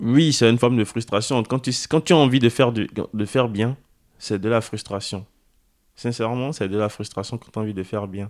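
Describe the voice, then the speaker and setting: With big swings in loudness and long, frequent pauses, a man speaks at a moderate pace at medium pitch with ordinary pitch variation, on a very clean recording with a silent background. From Benin, Porto-Novo. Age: 20s. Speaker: student on civic service at a basketball club. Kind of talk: interview.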